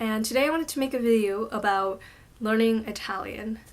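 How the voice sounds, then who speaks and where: In a plain, everyday voice, a woman talks at a fairly quick pace, her fairly high pitch moving with ordinary variation. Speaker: language-learning vlogger. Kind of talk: casual vlog talk to camera. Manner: casual with filler words.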